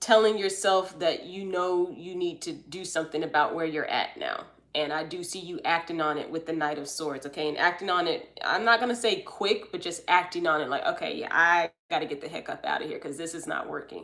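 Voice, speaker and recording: A woman talks at a fairly quick pace in a fairly low pitch, with an American accent and hardly any pauses. She has an ordinary speaking voice, with ordinary pitch variation and big swings in loudness. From US South, Atlanta, Georgia. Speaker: tarot card reader, livestream host. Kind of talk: live stream reading and chat. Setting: live stream. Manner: casual, chatty.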